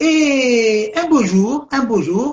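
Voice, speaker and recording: A man talks with lively intonation. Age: 70s. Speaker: writer. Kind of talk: interview. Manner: halting, with many repetitions.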